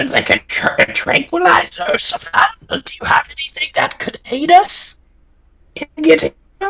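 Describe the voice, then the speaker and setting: A put-on character voice, pitched high, delivers its lines at a moderate pace. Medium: actual play. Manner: casual, halting.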